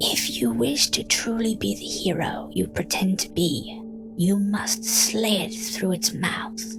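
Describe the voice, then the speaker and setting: A whispered, put-on character voice at a fairly slow pace, with loud music in the background. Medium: read story. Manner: irritated, fearful undertone.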